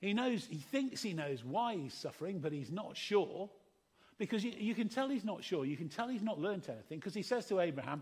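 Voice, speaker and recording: A man with an English accent talks at a fairly quick pace in a high pitch with very wide pitch swings. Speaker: preacher. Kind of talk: sermon. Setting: church service.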